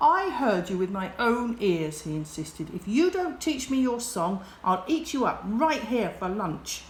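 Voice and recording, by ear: A natural voice reading text aloud.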